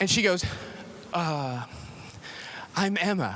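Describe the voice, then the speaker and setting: Noticeable background noise sits behind a man with a high pitch and ordinary pitch variation. He speaks at a fairly slow pace. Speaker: pastor. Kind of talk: sermon. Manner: casual, conversational.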